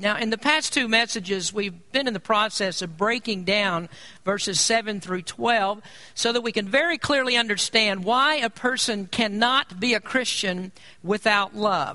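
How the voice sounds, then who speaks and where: A man with a high pitch projects a raised voice with a bright, sharp tone, speaking at a moderate pace with ordinary pitch variation. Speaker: pastor. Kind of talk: sermon.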